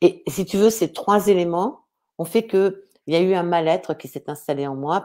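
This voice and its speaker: At a moderate pace, a dark, mellow voice speaks with ordinary pitch variation on a very clean recording with a silent background. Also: woman. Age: 60s. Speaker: author and speaker. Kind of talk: live interview. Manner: halting.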